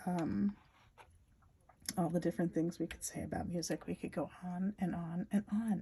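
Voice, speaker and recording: Soft-spoken and somewhat breathy, a woman talks with a dark, mellow tone. Her pitch is medium and her intonation fairly even. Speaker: spiritual storyteller. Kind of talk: spiritual talk. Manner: repetitive.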